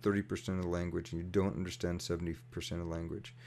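A dark, mellow tone comes through in an American accent delivered at a very fast pace. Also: man. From US, New York City. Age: 50s. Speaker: activist and mechanical engineer. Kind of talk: casual interview.

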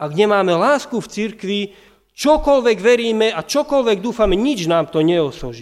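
A man's high voice with lively intonation, on a very clean recording with a silent background. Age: 30s. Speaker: pastor. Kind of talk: sermon.

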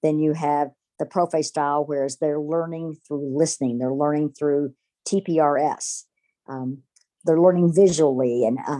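A woman speaks at a fairly slow pace with a very deep, low pitch, a dark, mellow tone and fairly even intonation, in a dry, close sound with no echo. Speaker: high school Spanish teacher. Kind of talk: interview.

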